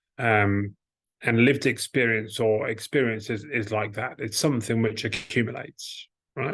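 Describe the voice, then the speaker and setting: Against a quiet background, a man speaks at medium pitch and a moderate pace. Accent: English. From England. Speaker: organization leader, guest. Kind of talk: conversational interview.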